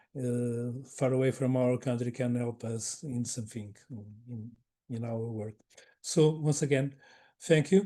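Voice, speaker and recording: This man has a medium pitch, a dark, mellow tone, and a non-native accent, speaking at a fairly slow pace with ordinary pitch variation and big swings in loudness. He takes long, frequent pauses against a quiet background. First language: not English. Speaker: webinar moderator. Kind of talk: closing remarks of online webinar. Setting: online webinar. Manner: halting, many repetitions.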